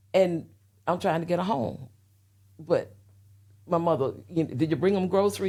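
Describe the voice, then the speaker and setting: A woman with an American accent and a dark, mellow tone speaks at a fairly quick pace and fairly low pitch in a very clean recording with a silent background. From US South (Florida, Alabama, Tennessee). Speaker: interview guest. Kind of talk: personal testimony in interview. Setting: podcast interview.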